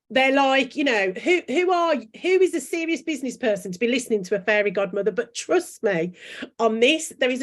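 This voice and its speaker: A woman with a strong Brummie accent talks at a fairly quick pace and a high pitch, with very wide pitch swings. The recording is very clean, with a silent background. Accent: strong Brummie (Birmingham). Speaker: branding coach and author. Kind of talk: interview chat. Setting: live video chat. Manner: animated.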